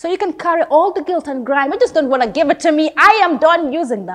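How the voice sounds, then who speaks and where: A woman's extremely high pitch, intense tone and lively intonation at a fairly quick pace over a quiet background. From The Gambia. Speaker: theatre student. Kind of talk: performed dramatic monologue, audition-style, with a bitter, defiant, emotional delivery. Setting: self-recorded audition video. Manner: expressive and intense, shifting from biting anger to wistful, reflective tones. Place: studio.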